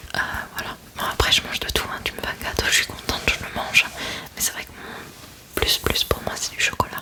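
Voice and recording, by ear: A woman whispers with long, frequent pauses, keeping a moderate pace.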